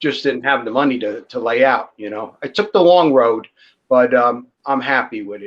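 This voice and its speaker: A man with an American accent talks at a moderate pace in a plain, everyday voice, medium in pitch with ordinary pitch variation. His loudness swings widely against a quiet background. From New York City, Brooklyn. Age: 60s. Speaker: ball python breeder. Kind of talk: casual chat. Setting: live stream.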